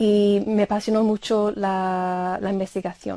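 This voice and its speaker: A woman speaks very slowly at a medium pitch, her tone dark and mellow and her intonation monotone and flat. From Ireland. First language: English (speaking Spanish). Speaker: university lecturer of Spanish. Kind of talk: interview. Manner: halting, many fillers.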